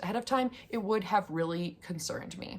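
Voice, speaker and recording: Her pitch fairly high for a woman, she uses an ordinary speaking voice with ordinary pitch variation. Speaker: YouTuber, house sitter. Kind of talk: casual vlog tutorial.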